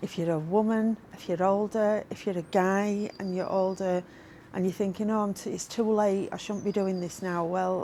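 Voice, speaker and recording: Moderate pace, monotone and flat intonation, in a Yorkshire accent. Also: woman, medium pitch for a woman. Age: 60s. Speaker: motorcycle vlogger. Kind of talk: vlog monologue.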